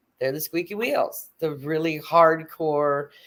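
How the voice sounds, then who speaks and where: A woman speaks with a Texan accent at a very deep, low pitch. Her pace is moderate. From Texas. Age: 50s. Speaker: atheist guest. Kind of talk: casual chat. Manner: animated.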